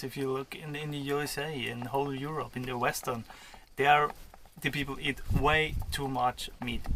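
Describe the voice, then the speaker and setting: This man has a fairly high pitch. He speaks with an Austrian accent. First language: German (Austrian). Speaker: vlogger. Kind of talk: casual chat. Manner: halting.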